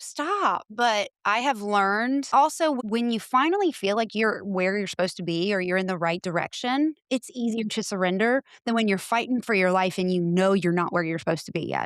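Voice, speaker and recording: A woman talks at a fairly quick pace in a medium pitch with lively intonation, in a normal speaking voice. The recording is very clean, with a silent background. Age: 40s. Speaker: paranormal podcaster. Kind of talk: casual chat.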